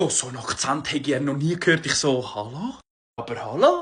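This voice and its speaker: The voice is raised and projected, with an animated tone. Its pitch swings very widely. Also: man. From Switzerland. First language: Swiss German (speaking German). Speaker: comedian. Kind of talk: comedic monologue.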